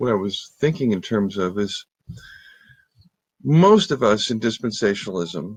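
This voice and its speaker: Against a quiet background, a man speaks at a moderate pace with a fairly low pitch and ordinary pitch variation, the sound dry and close with no echo. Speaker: theologian and teacher. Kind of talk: casual lecture. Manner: halting, many fillers; animated.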